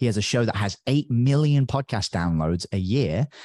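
Lively intonation and a dark, mellow tone come through in a dry, close sound with no echo against a quiet background. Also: man. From northern England. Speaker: podcast coach. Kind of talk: interview.

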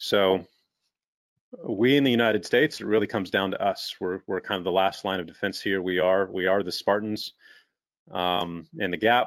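The voice belongs to a man and is pitched fairly low. It is a plain, everyday voice. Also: ordinary pitch variation, moderate pace. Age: 40s. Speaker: entrepreneur and business coach. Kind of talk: webinar interview.

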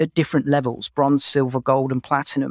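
The speaker has an English accent. The recording is very clean with a silent background, and the sound is dry and close with no echo. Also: man. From England. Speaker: HR executive. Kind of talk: interview conversation.

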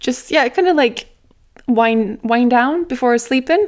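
A woman talks with a Norwegian accent. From Norway. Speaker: nutritionist, podcast host. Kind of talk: solo podcast monologue. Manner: casual, chatty.

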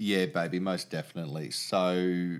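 Recorded very cleanly against a silent background, a man speaks with a New Zealand accent. His pitch is very deep and low. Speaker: podcast co-host. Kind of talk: casual chat.

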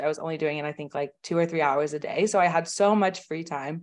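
Over a quiet background, a woman with an American accent speaks in a very deep, low voice with fairly even intonation. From Oklahoma, US. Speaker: online business manager. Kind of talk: interview.

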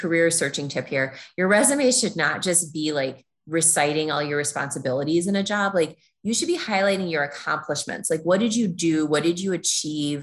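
Against a quiet background, a woman with an American accent uses an ordinary speaking voice, fairly low in pitch, at a moderate pace with ordinary pitch variation. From Minnesota, US Midwest. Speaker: former lawyer turned fundraiser, traveler. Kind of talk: interview, casual chat.

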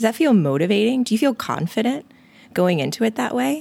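A woman speaks at a fairly high pitch with vocal fry and very wide pitch swings. The recording is very clean, with a silent background. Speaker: nurse anesthetist and weight loss coach podcast host. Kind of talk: solo motivational podcast talk. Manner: casual, animated.

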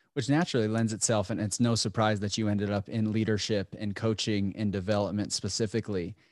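A man talks at a fairly quick pace in an unremarkable speaking voice. His pitch is fairly low, his intonation fairly even, and the recording very clean with a silent background. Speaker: podcast host and coach. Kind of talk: casual interview chat.

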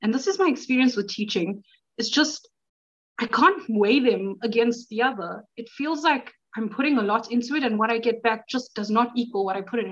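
Delivered at a moderate pace, the speech has an excited tone and ordinary pitch variation. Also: woman, fairly high pitch for a woman.

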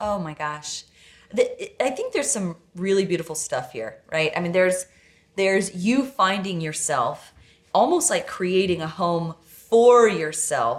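Using an ordinary speaking voice, a woman talks at a fairly slow pace with a medium pitch. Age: 30s. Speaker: podcast host. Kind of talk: casual chat.

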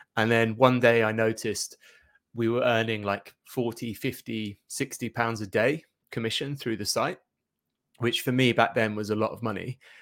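A man speaks at medium pitch with an East Anglian accent. His intonation stays monotone and flat at a moderate pace. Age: 40s. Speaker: SEO agency director. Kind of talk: interview.

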